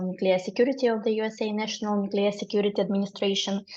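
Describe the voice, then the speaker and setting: This woman talks at a very fast pace, her pitch sitting in the medium range. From Ukraine. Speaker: webinar moderator, research fellow. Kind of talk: webinar moderation. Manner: halting, many fillers.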